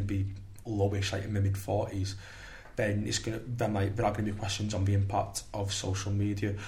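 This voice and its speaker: Speaking fairly quickly at a fairly low pitch, a man sounds somewhat breathy with monotone, flat intonation. Audible room echo is present. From St Helens, Merseyside, England. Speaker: politics undergraduate student. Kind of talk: casual panel discussion. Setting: studio.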